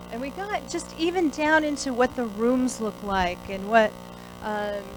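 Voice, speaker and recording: A woman talks at a moderate pace with an American accent. There is audible room echo. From US West Coast, San Francisco. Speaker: company CEO, guest speaker. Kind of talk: motivational talk. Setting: stage with audience, podium. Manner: loud; casual, improvised.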